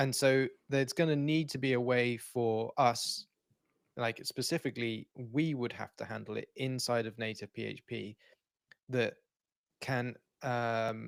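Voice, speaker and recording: A man speaks with a British accent at a fairly slow pace, leaving long, frequent pauses. His medium pitch keeps a fairly even intonation on a very clean recording with a silent background. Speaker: software developer, livestream co-host. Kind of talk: casual technical livestream chat. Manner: halting, many false starts.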